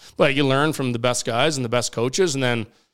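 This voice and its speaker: Over a very clean recording with a silent background, a man with a Canadian Prairies accent talks at a very fast pace with ordinary pitch variation. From Saskatchewan, Canada (Regina). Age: 30s. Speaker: professional curler. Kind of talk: casual chat. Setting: studio.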